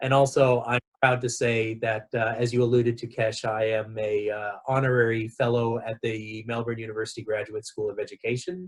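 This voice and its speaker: With a Southern California accent, a man speaks at medium pitch, somewhat breathy, in a monotone, flat intonation. He goes at a fairly quick pace with hardly any pauses. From Southern California, Los Angeles. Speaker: education director and researcher. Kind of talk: interview.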